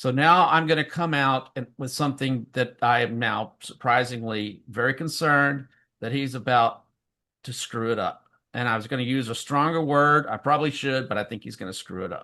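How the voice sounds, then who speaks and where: Against a quiet background, a man speaks at medium pitch with a bright, sharp tone. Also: ordinary pitch variation, moderate pace. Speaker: political talk show co-host. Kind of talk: political commentary. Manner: hesitant, many fillers.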